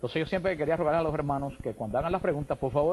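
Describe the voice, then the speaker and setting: Speaking very fast with a Cuban accent, a man has a fairly high pitch. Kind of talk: radio/TV call-in interview.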